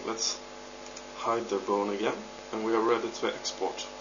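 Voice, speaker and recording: A man at a moderate pace with long, frequent pauses, amid noticeable background noise. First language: not English. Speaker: 3D modder. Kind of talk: software tutorial narration. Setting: home recording, poor audio.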